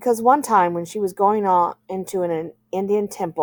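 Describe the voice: Someone does plain reading aloud with ordinary pitch variation against a quiet background.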